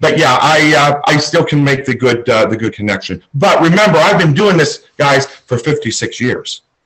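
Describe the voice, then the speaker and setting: A man with an unremarkable speaking voice and a fairly high pitch talks at a moderate pace. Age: 60s. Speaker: psychic medium. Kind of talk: casual chat.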